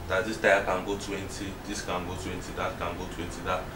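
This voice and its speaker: There is noticeable background noise. Over it, a man speaks at a moderate pace. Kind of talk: explanation to a group. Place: home room. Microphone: camera far.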